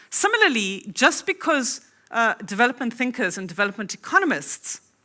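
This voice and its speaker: Her tone is bright and sharp, and the woman speaks at a fairly quick pace. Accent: South African. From South Africa. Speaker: academic conference speaker. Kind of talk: conference keynote lecture.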